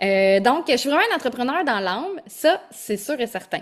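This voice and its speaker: Her voice sits fairly high. This woman speaks with a Quebec accent. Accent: Québécois French. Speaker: holistic coach and yoga teacher. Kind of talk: online masterclass. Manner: energetic.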